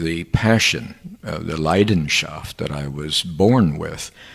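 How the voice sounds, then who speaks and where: With an American accent, a man speaks at a very deep, low pitch with ordinary pitch variation, over noticeable background noise. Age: 70s. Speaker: professor. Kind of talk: interview. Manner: hesitant, many fillers.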